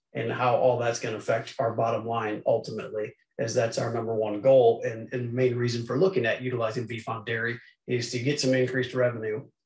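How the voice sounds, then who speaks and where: Somewhat breathy and fairly quick, a man speaks with audible room echo against a quiet background. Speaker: presenter. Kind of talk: lecture. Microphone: video call.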